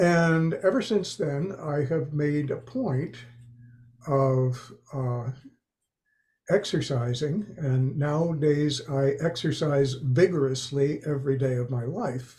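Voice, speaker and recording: Very slowly, a man speaks in a fairly high, somewhat breathy voice. His tone is dark and mellow. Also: ordinary pitch variation. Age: 70s. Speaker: panel guest. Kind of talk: casual chat. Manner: halting.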